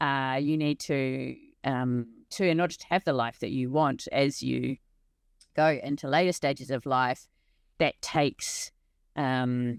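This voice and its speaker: A woman speaks with a New Zealand accent at a very deep, low pitch, keeping a fairly slow pace with long, frequent pauses and fairly even intonation. The sound is dry and close with no echo, a very clean recording over a silent background. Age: 40s. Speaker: organisational transformation leader and hiker. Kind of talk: casual interview conversation.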